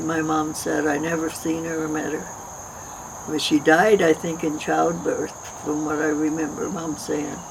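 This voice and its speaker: A woman with an American accent speaks fairly slowly in a very deep, low voice. Her intonation is monotone and flat, with noticeable background noise behind her. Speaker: storyteller telling her life story. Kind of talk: autobiographical narration.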